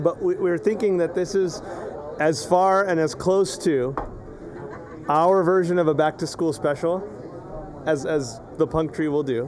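Amid crowd noise and audible room echo, a man with a fairly high pitch speaks at a very slow pace. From US Southwest, Imperial Valley, California. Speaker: podcast host and teacher. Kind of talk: casual chat. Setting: outdoors in a yard.

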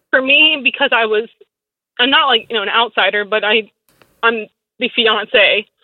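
At a moderate pace, a woman with a fairly high pitch and ordinary pitch variation keeps her loudness very even while taking long, frequent pauses. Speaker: caller. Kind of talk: phone-in advice call. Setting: phone call.

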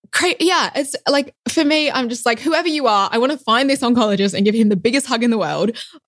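A woman with an Australian accent talks at a very fast pace with hardly any pauses. Her high voice carries lively intonation. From Western Australia, Perth. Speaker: physician. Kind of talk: casual interview.

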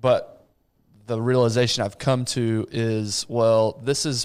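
An unremarkable speaking voice from a man with an American accent, medium in pitch, with ordinary pitch variation and a fairly slow pace, on a very clean recording with a silent background. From West Texas. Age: 30s. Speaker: podcast host. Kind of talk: casual chat.

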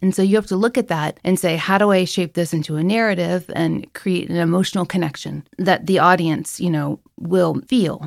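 At a moderate pace, a woman speaks in a fairly low voice with vocal fry and ordinary pitch variation. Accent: American. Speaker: author and podcaster. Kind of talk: interview, casual chat.

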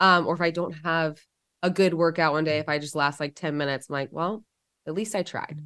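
Speaking at a fairly quick pace, a woman with a fairly low pitch uses a bright, sharp tone and fairly even intonation on a very clean recording with a silent background. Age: 30s. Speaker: podcast host and nurse. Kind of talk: interview.

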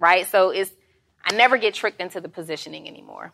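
In a very clean recording with a silent background, a woman with an American accent talks at a very fast pace. Her tone is animated, bright and sharp, with ordinary pitch variation. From Atlanta, Georgia (US South). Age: 40s. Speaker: entrepreneur and business coach. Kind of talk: casual interview chat.

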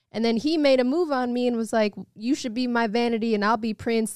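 A woman speaks with an American accent. The sound is dry and close, with no echo. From Evanston, north of Chicago. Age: 30s. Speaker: musician and actress. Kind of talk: casual chat.

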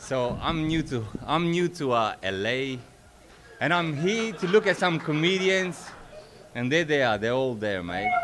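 Pitch swings very widely as the words come at a fairly slow pace, with the room's echo clearly audible. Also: man. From Australia (Sydney). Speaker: open-mic comedian. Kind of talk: stand-up. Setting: stage with audience.

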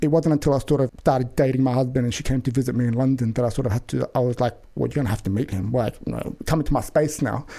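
A man's fast, nearly pause-free speech in a western Sydney accent, dark and mellow in tone with vocal fry. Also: medium pitch for a man, ordinary pitch variation. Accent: western Sydney Australian.

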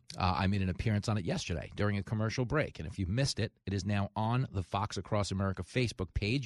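In a New York accent, a man speaks at a fairly quick pace with a fairly low pitch and ordinary pitch variation. The sound is dry and close, with no echo. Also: quiet background. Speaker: talk radio host and comedian. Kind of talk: talk radio monologue and interview. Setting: studio. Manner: animated.

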